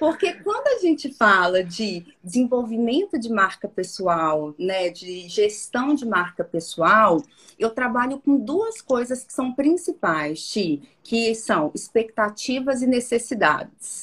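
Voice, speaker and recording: Speaking at a very slow pace, a woman with a fairly high pitch makes very wide pitch swings and big swings in loudness. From Minas Gerais interior, Brazil (Porteirinha). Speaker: personal branding consultant. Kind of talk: interview conversation.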